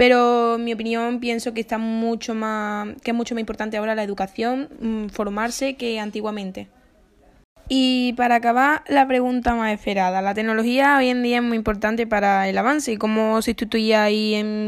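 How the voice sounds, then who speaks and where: Her intonation monotone and flat, a woman speaks at a fairly high pitch and a moderate pace. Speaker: student interviewer. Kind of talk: scripted school interview.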